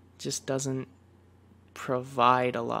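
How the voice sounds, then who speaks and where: A soft-spoken man's voice, medium in pitch, relaxed in tone. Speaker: League of Legends player and ASMR content creator. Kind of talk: gaming tier list commentary, casual talk to camera. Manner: soft-spoken, relaxed.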